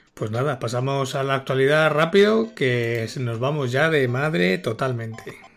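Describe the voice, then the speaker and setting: Over a very clean, silent background, a man with a normal speaking voice at medium pitch talks at a fairly slow pace with lively intonation. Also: hardly any pauses. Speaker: marketing consultant and co-host. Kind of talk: casual chat.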